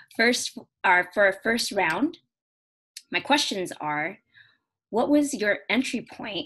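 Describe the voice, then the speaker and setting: Against a quiet background, a woman with an American accent talks at a fairly slow pace, her pitch swinging very widely. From US, Carson, Los Angeles area. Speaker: panel moderator, former student organization president. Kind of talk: online panel moderation. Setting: online video seminar. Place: home room. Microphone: video call.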